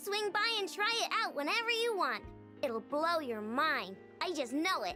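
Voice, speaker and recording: Clear music plays in the background as a put-on character voice talks at a moderate pace. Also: woman, extremely high pitch for a woman. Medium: game stream. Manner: focused, self-assured.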